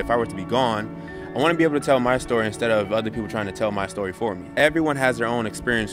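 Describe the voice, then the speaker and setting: A man talks very fast with an American accent. Music plays behind him. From Redwood City, California. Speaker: aspiring actor and animator. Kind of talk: interview answer.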